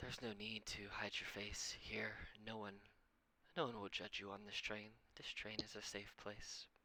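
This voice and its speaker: Putting on a character voice, a man speaks at a moderate pace with a raspy, fairly low pitch. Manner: calm, reassuring.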